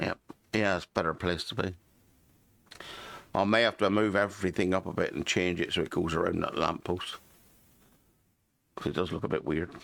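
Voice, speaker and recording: Talking at a fairly quick pace yet with long, frequent pauses, a man with a British accent uses a very deep, low pitch and fairly even intonation. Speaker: gaming YouTuber. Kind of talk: gameplay commentary. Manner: mumbling; casual, halting.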